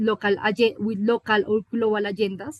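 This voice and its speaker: A woman with a Colombian accent speaks in a fairly high pitch with monotone, flat intonation. The sound is dry and close, with no echo. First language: Spanish. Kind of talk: panel discussion. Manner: halting.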